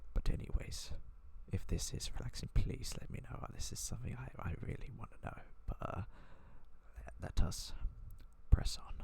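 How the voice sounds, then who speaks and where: A whispering man at a moderate pace, with long, frequent pauses and big swings in loudness. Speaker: gaming YouTuber. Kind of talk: ASMR-style soft narration of a simulator game. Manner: soft-spoken.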